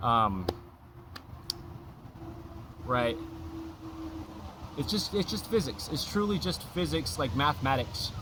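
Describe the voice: A man speaks slowly at a medium pitch, with long, frequent pauses. His tone is bright and sharp, and his pitch swings widely.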